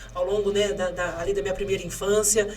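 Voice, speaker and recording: The speech moves at a fairly quick pace with fairly even intonation, amid audible room echo and noticeable background noise. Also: woman. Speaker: mayoral candidate. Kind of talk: podcast interview. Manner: fast.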